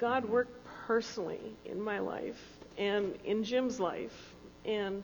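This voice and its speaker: A woman's fairly high voice at a very slow pace, with long, frequent pauses, fairly even intonation and audible room echo. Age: 60s. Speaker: founding church member. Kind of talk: panel testimony in church service. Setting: church.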